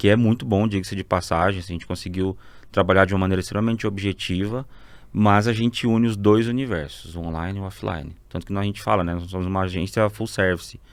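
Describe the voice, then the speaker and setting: On a very clean recording with a silent background, a man with fairly low pitch talks at a very fast pace. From Mato Grosso, Brazil (born Rondônia). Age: 30s. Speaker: advertising agency partner. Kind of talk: podcast interview. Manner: casual, conversational.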